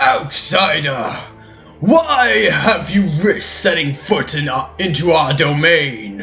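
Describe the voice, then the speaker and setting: A man talks at a fairly slow pace in a put-on character voice. Clear music plays behind him. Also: fairly high pitch for a man. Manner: commanding, hostile.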